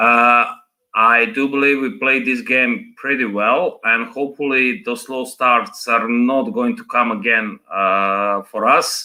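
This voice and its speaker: Very slowly, a man talks with a non-native accent. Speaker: caller, fan. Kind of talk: video call chat. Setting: video call.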